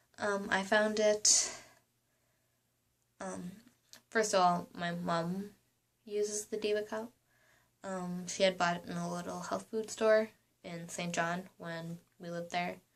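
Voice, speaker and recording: Quiet and fairly slow, a woman speaks with medium pitch and flat, monotone intonation, leaving long, frequent pauses. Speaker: vlogger. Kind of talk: casual vlog talk. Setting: apartment room. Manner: quiet, hushed; hesitant, many ums.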